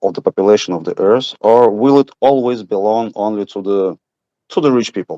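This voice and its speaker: A man speaks with a Russian accent in a dark, mellow tone. The sound is dry and close with no echo, over a quiet background. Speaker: audience member. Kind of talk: audience question. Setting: video call. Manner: halting.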